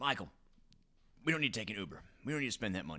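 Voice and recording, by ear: A man puts on a character voice in a Southern accent. He races along at a very fast pace with very wide pitch swings.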